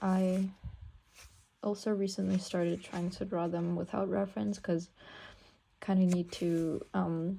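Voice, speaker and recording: This woman's voice sits at a medium pitch, with a dark, mellow tone and some breathiness. She talks at a fairly slow pace. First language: not English. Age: 18. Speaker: art student and pianist vlogger. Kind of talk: casual sketchbook tour. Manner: hesitant, many fillers.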